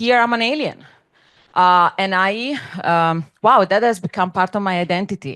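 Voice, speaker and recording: A woman speaks at medium pitch with a bright, sharp tone. The background is quiet. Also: ordinary pitch variation, moderate pace, dry, close sound with no echo. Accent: non-native. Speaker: dance scholar and curator. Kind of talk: panel presentation.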